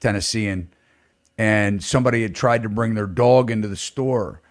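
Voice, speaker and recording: At a moderate pace, a man with a medium-pitched voice talks in an animated tone. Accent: American. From northeastern US. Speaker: podcast host, real estate broker. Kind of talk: casual chat.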